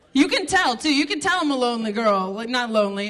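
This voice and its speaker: Over noticeable background noise, a woman with a high pitch talks at a fairly quick pace, her voice making very wide pitch swings. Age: 30s. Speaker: stand-up comedian. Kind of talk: stand-up. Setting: stage with audience. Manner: animated.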